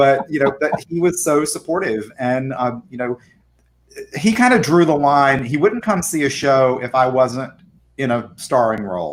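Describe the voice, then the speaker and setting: A man with a normal speaking voice and an American accent talks at a fairly high pitch. His intonation is lively and his pace moderate. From US South. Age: 50s. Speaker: arts center director. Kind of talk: casual interview chat.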